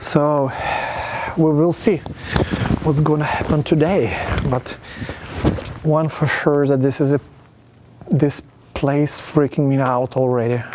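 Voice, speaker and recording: A man speaks at a fairly slow pace with fairly even intonation and long, frequent pauses. Light background noise can be heard. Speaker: self-styled ghost hunter. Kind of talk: casual vlog commentary. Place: garage.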